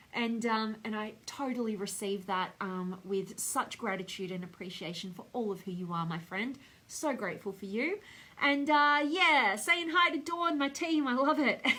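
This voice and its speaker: A bright, sharp tone carries an Australian accent at a moderate pace. The delivery is animated, with very wide pitch swings. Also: woman, fairly high pitch for a woman. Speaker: speaker trainer and coach. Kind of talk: live stream motivational talk with viewer comments. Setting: Facebook live video.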